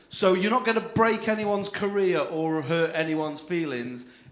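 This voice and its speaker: A man with a northern English accent talks at a moderate pace with lively intonation, with audible room echo and noticeable background noise. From northern England. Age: 30s. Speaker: comedy compere. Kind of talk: stand-up. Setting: stage with audience.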